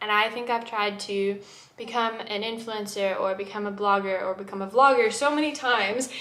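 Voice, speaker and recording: There is audible room echo and noticeable background noise as a woman with a fairly high pitch speaks at a moderate pace. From UK, Middle East and Texas (mixed upbringing). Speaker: vlogger. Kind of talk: casual vlog introduction. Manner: animated.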